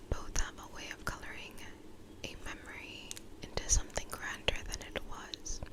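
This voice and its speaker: Someone is whispering. Noticeable background noise runs underneath. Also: woman. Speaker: ASMR creator. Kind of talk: ASMR poetry reading. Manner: gentle, close whisper.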